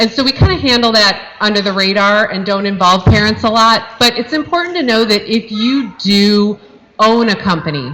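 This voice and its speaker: Loud and bright with a sharp tone, a woman speaks at a medium pitch and moderate pace with ordinary pitch variation. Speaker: youth football parent volunteer organizer. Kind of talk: informational talk at parent meeting.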